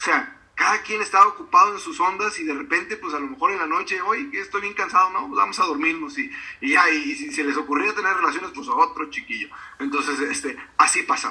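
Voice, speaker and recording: Over noticeable background noise, a man talks at a fairly quick pace in a raised, projected, high voice with very wide pitch swings. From Mexico, Río Verde, San Luis Potosí. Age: 40s. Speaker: author and speaker. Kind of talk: interview. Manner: halting, many fillers.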